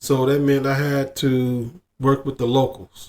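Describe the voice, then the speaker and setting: A man mumbles at a medium pitch. He speaks with an American accent. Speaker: expat sharing experiences abroad. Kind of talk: casual monologue. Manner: mumbling; halting, repetitive.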